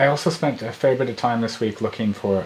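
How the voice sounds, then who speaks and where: A man with a medium pitch and ordinary pitch variation speaks very fast. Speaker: startup founder vlogger. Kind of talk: video update.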